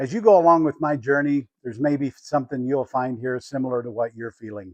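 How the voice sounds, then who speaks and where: A man speaks with an unremarkable speaking voice at a fairly high pitch. The sound is dry and close, with no echo. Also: quiet background. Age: 60s. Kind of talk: personal reflection to camera.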